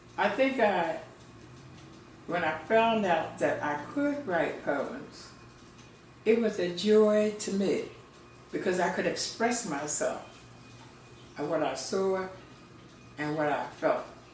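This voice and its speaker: A woman talks at a very slow pace with lively intonation, leaving long, frequent pauses. Noticeable background noise sits behind her. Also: medium pitch for a woman. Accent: American. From Philadelphia, Pennsylvania. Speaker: poet and Sunday School teacher. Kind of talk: interview answer.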